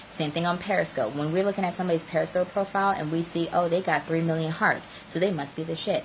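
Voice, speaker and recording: A woman's fairly low-pitched, animated voice at a very fast pace with hardly any pauses, against noticeable background noise. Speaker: social media coach. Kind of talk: live stream tutorial. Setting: live video stream.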